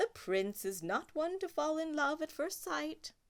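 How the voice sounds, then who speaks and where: Putting on a character voice, a woman speaks at a high pitch and a moderate pace with very wide pitch swings. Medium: read story.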